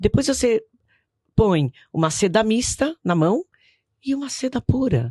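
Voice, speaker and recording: This speaker has a dark, mellow, somewhat breathy tone, talks fairly slowly with long, frequent pauses and very wide pitch swings, and sounds dry and close with no echo. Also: woman, fairly high pitch for a woman. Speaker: businesswoman. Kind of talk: podcast interview. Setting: studio.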